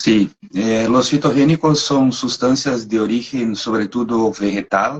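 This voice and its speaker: A man with a Brazilian accent speaks at a medium pitch and a very slow pace. His intonation stays fairly even. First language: Portuguese (speaking Spanish). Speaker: animal nutrition marketing manager. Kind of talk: technical webinar interview. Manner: halting, hesitant.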